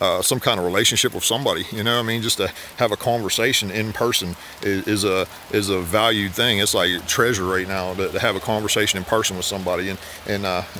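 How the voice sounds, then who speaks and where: Over light background noise, a man speaks at a fairly quick pace and fairly low pitch, the sound dry with no echo. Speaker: preacher vlogger. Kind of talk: casual devotional vlog talk. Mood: warm, earnest, encouraging. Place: forest. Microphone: phone near.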